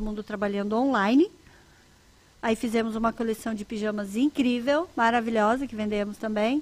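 Speaking at a fairly quick pace, a woman uses a normal speaking voice with a fairly high pitch and ordinary pitch variation. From southern Brazil, Rio Grande do Sul. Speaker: fashion designer and entrepreneur. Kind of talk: interview. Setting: live stream.

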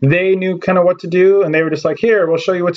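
A man's voice with fairly even intonation. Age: 20s. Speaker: podcast host. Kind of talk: casual interview chat.

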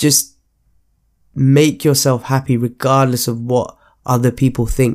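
A man's medium-pitched, monotone, flat delivery at a fairly slow pace, with long, frequent pauses, on a very clean recording with a silent background. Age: 20s. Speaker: fitness coach and podcast host. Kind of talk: solo monologue podcast. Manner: halting.

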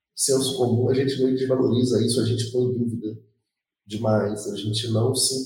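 This man has a dark, mellow tone that is somewhat breathy, speaking at a medium pitch and moderate pace with monotone, flat intonation. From Rio de Janeiro, West Zone. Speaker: podcast co-host. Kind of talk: casual chat.

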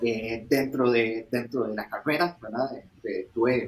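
Over noticeable background noise, a man speaks at a very slow pace with fairly even intonation and a medium pitch. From Costa Rica. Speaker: startup founder. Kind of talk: interview.

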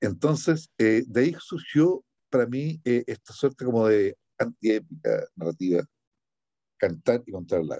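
The delivery is fairly slow, with a dark, mellow tone and very wide pitch swings. Loudness swings a lot, and the sound is dry and close with no echo. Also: man, medium pitch for a man. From Chile, La Serena. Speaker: poet. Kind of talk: interview. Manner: halting.

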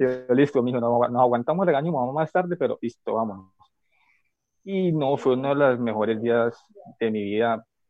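Here a man uses a normal speaking voice at a medium pitch, moving at a moderate pace with ordinary pitch variation. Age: 30s. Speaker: football fan. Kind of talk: casual chat.

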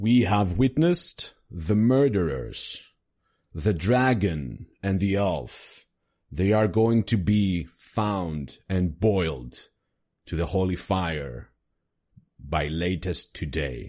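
Someone uses a put-on character voice at a very slow pace on a very clean recording with a silent background. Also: man, very deep, low pitch for a man. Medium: actual play. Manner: pompous, menacing proclamation.

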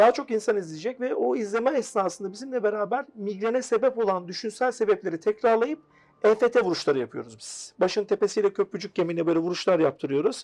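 Against a quiet background, a man talks at a fairly quick pace in a high pitch with hardly any pauses. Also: lively intonation. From Turkey, Afyonkarahisar. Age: 30s. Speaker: personal development coach. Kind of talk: TV interview.

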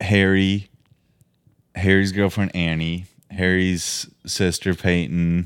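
A very slow pace with long, frequent pauses, monotone, flat intonation and an American accent. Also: man, very deep, low pitch for a man. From Minnesota, Fergus Falls. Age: 30s. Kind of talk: casual chat.

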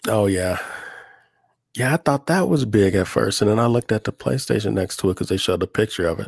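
A man with vocal fry and a fairly low pitch talks at a very fast pace with lively intonation. The sound is dry and close with no echo, a very clean recording over a silent background. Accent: American. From Oklahoma. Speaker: podcast co-host. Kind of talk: casual chat.

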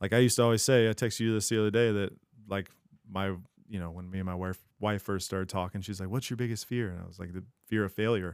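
On a very clean recording with a silent background, a man with a fairly low voice and an American accent speaks very fast with fairly even intonation. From Missouri, US Midwest. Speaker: chiropractor. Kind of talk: casual interview.

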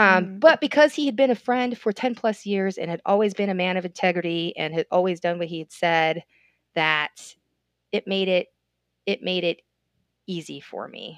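A plain, everyday voice with an American accent, lively intonation and big swings in loudness at a moderate pace, in a dry, close sound with no echo. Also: woman, medium pitch for a woman. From United States. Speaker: comedian and travel agent. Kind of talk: casual chat.

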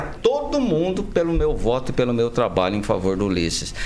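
Very wide pitch swings mark this moderately paced voice, heard over noticeable background noise. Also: man. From Brazil, Maringá, Paraná. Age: 40s. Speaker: lawyer and mayoral pre-candidate. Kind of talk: radio interview. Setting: radio studio.

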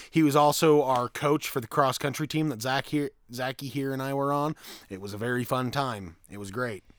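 Here is a man with a normal speaking voice, medium pitch and ordinary pitch variation, talking at a fairly quick pace with big swings in loudness. The sound is dry and close with no echo, a very clean recording with a silent background. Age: 20s. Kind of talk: casual chat. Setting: garage.

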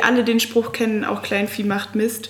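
Noticeable background noise runs under a woman speaking in a monotone, flat intonation. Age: 20s. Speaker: student and food-sharing volunteer. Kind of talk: casual interview chat.

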